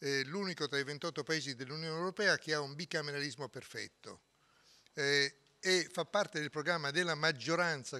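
At a moderate pace, a man talks in a bright, sharp tone with ordinary pitch variation. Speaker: politician at press statement. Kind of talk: press statement. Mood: firm, argumentative. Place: hall. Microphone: podium.

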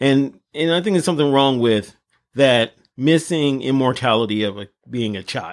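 A man speaks with a Los Angeles accent. His pace is moderate and his pitch varies in an ordinary way. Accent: Los Angeles American English. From South Central Los Angeles. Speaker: podcast co-host. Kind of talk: casual chat.

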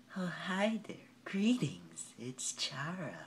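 A put-on character voice speaks in a menacing tone at a middle pitch. The pace is fairly slow. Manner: eerie, sweetly menacing.

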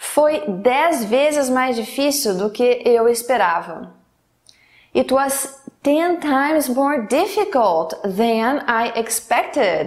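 Speaking at a very slow pace against a quiet background, a woman uses a high pitch with very wide pitch swings. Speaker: English teacher. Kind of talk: lesson example sentences. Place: studio.

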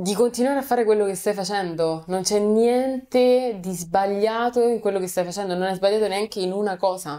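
A woman at a medium pitch and moderate pace, with a dark, mellow tone, ordinary pitch variation and hardly any pauses, against a quiet background. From Rome, Italy; Italy. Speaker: content creator. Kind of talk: casual interview. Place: studio.

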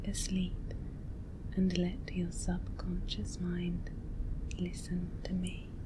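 A woman talks at a very slow pace over noticeable background noise. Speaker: hypnosis and relaxation video creator. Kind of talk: guided hypnosis script for sleep.

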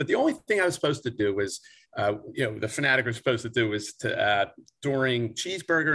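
At a very fast pace, a man with a Philadelphia accent talks in a bright, sharp tone at medium pitch against a quiet background. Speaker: sports team mascot performer. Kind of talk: casual interview. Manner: animated. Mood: cheerful storytelling. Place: home room. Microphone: video call.

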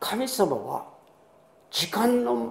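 A man is speaking. His voice carries audible room echo. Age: 80s+. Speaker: pastor. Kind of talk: sermon. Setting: church. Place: church. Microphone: podium.

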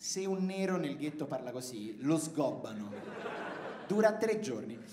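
A man's speech carries audible room echo, with light noise in the background. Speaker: stand-up comedian. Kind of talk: stand-up comedy routine. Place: stage. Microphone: handheld.

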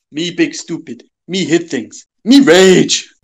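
A man speaks at a fairly slow pace. His voice sits high for a man. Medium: comedy sketch. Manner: caveman broken speech, blunt.

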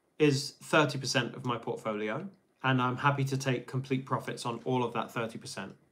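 The tone is fairly bright. Pitch rises and falls by an ordinary amount. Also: man.

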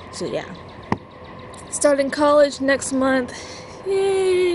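A woman speaks at a high pitch with lively intonation. The sound is dry with no echo, and there is light background noise. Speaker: vlogger. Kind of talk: casual vlog chat. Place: garden. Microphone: phone near.

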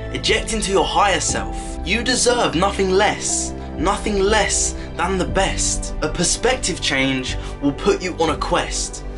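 Fairly slow speech from a man over noticeable background noise. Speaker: motivational speaker. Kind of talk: motivational spoken word poem. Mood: earnest, encouraging. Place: home room. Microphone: phone near.

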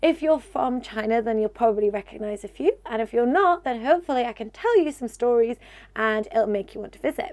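Her intonation lively, a woman is talking. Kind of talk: casual vlog chat. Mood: warm, enthusiastic.

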